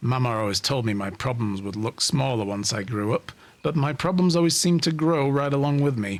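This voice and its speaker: A man puts on a gruff character voice at medium pitch. He talks at a fairly quick pace. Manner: weary, reflective.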